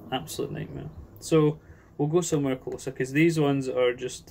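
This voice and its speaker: In a Scottish accent, a man talks with ordinary pitch variation. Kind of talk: casual talk to camera, rant.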